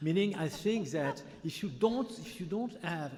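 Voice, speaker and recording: Lively intonation marks a man speaking at a moderate pace in a French accent, with audible room echo around him. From France. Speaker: physician, audience member. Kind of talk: conference Q&A. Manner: halting.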